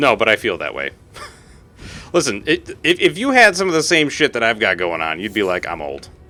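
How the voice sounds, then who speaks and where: Vocal fry runs through a man's voice. He talks at a fairly quick pace, and his pitch swings very widely. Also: medium pitch for a man. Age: 30s. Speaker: gaming streamer. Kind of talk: live gameplay stream chatting with viewers. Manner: casual, rambling with fillers.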